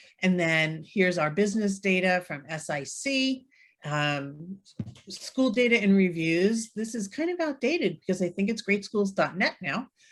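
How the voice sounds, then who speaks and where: A woman speaks at a moderate pace in a normal speaking voice, her medium pitch carried by lively intonation. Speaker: real estate software trainer. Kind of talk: webinar tutorial.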